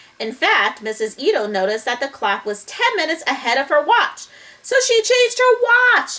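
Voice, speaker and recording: Putting on a squeaky character voice, a woman speaks at a moderate pace in a high pitch with very wide pitch swings. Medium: read story. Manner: cheerful, earnest.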